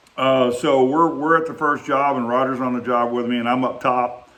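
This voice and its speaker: There is audible room echo and noticeable background noise as a man talks at a moderate pace. He has an American accent, a medium pitch and fairly even intonation. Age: 60s. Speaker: vlogger reminiscing, former bricklayer. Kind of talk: casual storytelling monologue. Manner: halting, with many fillers.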